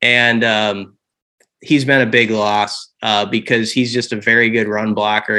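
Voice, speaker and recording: The voice carries a Midwestern American accent and a bright, sharp tone. Its pace is fairly slow. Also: man. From Nebraska, Omaha. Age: 40s. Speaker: college football reporter. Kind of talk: casual interview.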